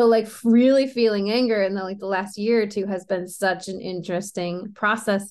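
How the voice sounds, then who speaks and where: A woman with an ordinary speaking voice talks at a moderate pace in a medium pitch, her intonation fairly even and hardly any pauses between words. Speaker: NLP coach and podcast host. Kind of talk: casual chat.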